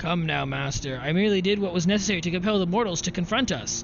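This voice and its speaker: A man's put-on character voice, high-pitched and very fast, with clear music in the background. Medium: video game. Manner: archaic, grand.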